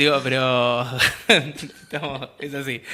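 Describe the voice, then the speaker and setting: In an Argentine accent, a man of medium pitch speaks in a flat monotone amid noticeable background noise. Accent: Argentine Spanish (Rioplatense). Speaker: community radio host. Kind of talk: radio discussion on agrarian reform; casual radio chat. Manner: fast.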